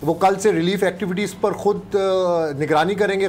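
A man speaks at a moderate pace with a high pitch. His tone is slightly mellow, and his pitch varies in an ordinary way.

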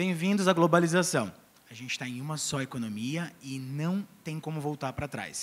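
At a moderate pace, a man with a fairly high voice makes very wide pitch swings. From Brazil. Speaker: founder of an international arts education agency; company founder on panel. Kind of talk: talk on stage. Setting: stage with audience. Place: stage. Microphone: handheld.

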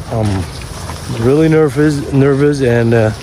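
The recording of a man has noticeable background noise and a dry sound with no echo. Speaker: fishing vlogger. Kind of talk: casual vlog chat. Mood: nervous, apologetic. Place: open country. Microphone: phone near.

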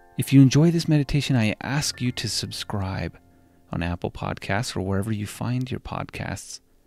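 A man speaks in a calm tone with lively intonation. The sound is dry and close with no echo, and music plays in the background. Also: medium pitch for a man. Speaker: hospice chaplain and meditation podcast host. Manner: slow, soothing pace with gentle breathing cues; calm, invitational second-person instructions.

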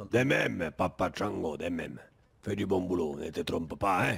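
Putting on a character voice, a man speaks at a moderate pace in a raspy, very deep, low pitch. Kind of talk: roleplay dialogue. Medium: game stream. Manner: authoritative, warm, patronizing.

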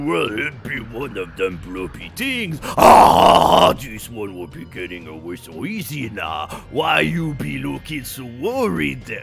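Using a put-on character voice at a medium pitch, a man speaks at a fairly slow pace with hardly any pauses while clear music plays in the background.

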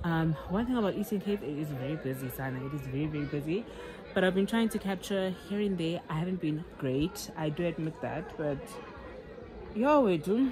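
Over crowd noise in the background, a woman talks at a fairly quick pace with a fairly low pitch. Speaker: vlogger. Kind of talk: casual vlog chat. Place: open country. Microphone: phone near.

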